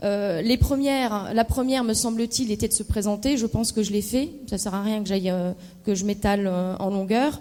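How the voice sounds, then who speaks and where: The woman talks at a fairly quick pace with ordinary pitch variation. Her voice sits fairly high and has a dark, mellow tone. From Lorraine, France (Meurthe-et-Moselle, Moselle). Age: 30s. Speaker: political candidate. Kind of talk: debate presentation. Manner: hesitant, many fillers.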